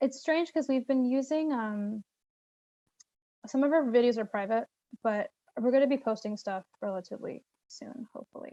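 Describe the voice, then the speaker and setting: Long, frequent pauses break up speech with big swings in loudness and ordinary pitch variation. The tone is dark and mellow, and the sound is dry and close with no echo. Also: woman, high pitch for a woman. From Brooklyn. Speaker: presenter wrapping up a meeting. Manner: fast talker.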